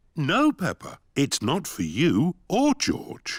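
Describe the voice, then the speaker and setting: A man's cartoonish character voice, high-pitched, at a very slow pace. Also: very clean recording, silent background. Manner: jolly, chuckling.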